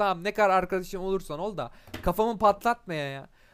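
In a very clean recording with a silent background, a man speaks with a high pitch and lively intonation at a moderate pace. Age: 20s. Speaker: podcaster. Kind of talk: casual monologue. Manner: hesitant with fillers.

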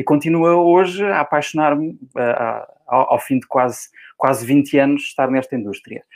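A man speaks at a fairly quick pace in a fairly high voice. His pitch varies in an ordinary way. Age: 40s. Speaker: real estate coach and trainer. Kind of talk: interview.

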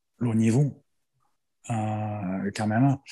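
A man speaks at a medium pitch with a somewhat breathy quality. His intonation stays fairly even. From Australia. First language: English (speaking French). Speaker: rugby strength and conditioning coach, former player. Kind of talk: interview. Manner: halting.

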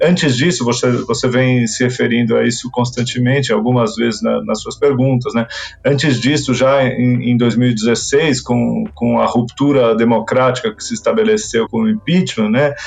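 A man talks at a moderate pace with hardly any pauses. Noticeable background noise sits behind him. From Brazil, Argentine parents. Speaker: writer and literary critic. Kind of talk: interview. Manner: hesitant, repeats words.

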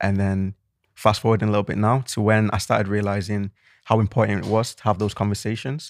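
A man's fairly low, flat monotone with a Mancunian accent at a very fast pace, dry and close with no echo in a very clean recording over a silent background. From Manchester, England. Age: 20s. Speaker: podcast co-host. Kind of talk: casual chat.

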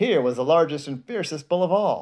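A man talks at a fairly quick pace in a fairly high pitch. His is a plain, everyday voice. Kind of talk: children's bedtime storybook reading aloud. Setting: bedtime at home, reading to a child. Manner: pauses to comment on the pictures to a child.

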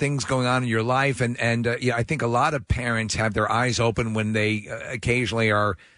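Against a quiet background, a man with an American accent speaks in a medium pitch with fairly even intonation. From New York. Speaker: radio co-host. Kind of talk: casual radio chat. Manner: halting, many repeated words.

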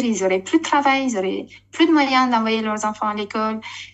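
A woman speaks with a fairly high pitch. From Romania. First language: Romanian (speaking French). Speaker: network marketing leader, former TV presenter. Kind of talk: casual interview chat.

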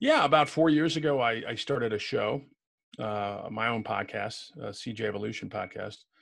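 A man speaks at a moderate pace with a Chicago-area accent. His pitch is medium, with ordinary variation. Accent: Chicago-area Midwestern American. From Illinois, US Midwest. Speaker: retired police commander and professor. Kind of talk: casual interview chat. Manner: friendly, conversational.

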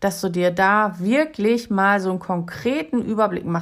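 A woman in a normal speaking voice, medium in pitch with lively intonation, at a fairly slow pace on a very clean recording with a silent background. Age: 50s. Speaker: solo travel podcaster and coach. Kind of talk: solo podcast advice monologue.

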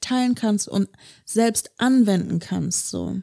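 The recording of this woman's dark, mellow voice is very clean, with a silent background and a dry, close sound with no echo. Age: 20s. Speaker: podcast co-host. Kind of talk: casual chat.

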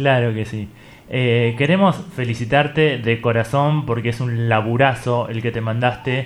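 This is an unremarkable speaking voice. The pitch varies in an ordinary way. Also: man, medium pitch for a man, fairly slow pace. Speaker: radio host. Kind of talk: casual interview.

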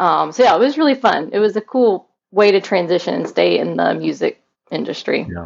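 Fairly quick speech from a woman with an American accent. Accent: slight Southern, mostly hidden. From US South, Mobile, Alabama. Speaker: realtor and podcaster, trained singer. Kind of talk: interview conversation.

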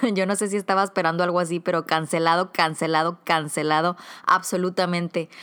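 A woman with an ordinary speaking voice talks at fairly low pitch. Her intonation stays fairly even. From northern Mexico, Comarca Lagunera (Coahuila/Durango). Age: 30s. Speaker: podcast host. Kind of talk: podcast monologue.

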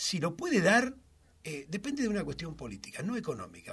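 Speaking in a Rioplatense accent, a man moves at a fairly quick pace with very wide pitch swings. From Argentina, Buenos Aires south suburbs. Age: 60s. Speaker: social movement leader. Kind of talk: interview. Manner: halting.

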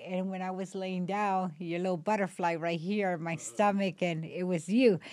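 This is a woman with an unremarkable speaking voice at medium pitch. The recording is very clean, with a silent background. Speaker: host's mother. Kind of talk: casual chat, family storytelling.

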